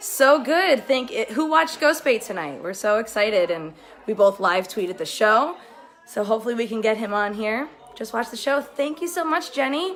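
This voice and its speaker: Noticeable background noise runs under a woman speaking at a moderate pace in a fairly high pitch, her voice making very wide pitch swings. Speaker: TV show cast member hosting a livestream. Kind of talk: casual livestream chat. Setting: live video stream at a party in her mother's house.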